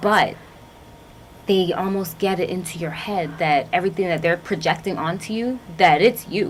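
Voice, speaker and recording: At a moderate pace, a woman talks in an ordinary speaking voice with a medium pitch and ordinary pitch variation. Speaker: TV show host. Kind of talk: interview questions.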